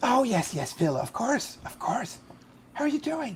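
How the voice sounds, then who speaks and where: A put-on character voice, fairly high and hoarse, moves at a moderate pace. Its pitch swings very widely. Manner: vague, indefinite.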